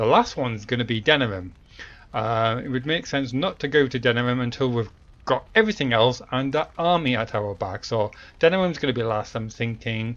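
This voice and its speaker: A man with a British accent at a medium pitch. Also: ordinary pitch variation, fairly quick pace. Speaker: let's play gamer. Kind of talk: gameplay commentary.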